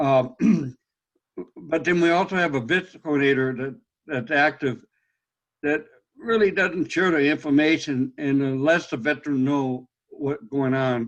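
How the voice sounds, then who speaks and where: At a fairly slow pace and with long, frequent pauses, a man with an American accent talks with ordinary pitch variation. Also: fairly high pitch for a man. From US West, Los Angeles. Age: 60s. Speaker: blind veteran, webinar participant. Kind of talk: Q&A question on video call. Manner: halting.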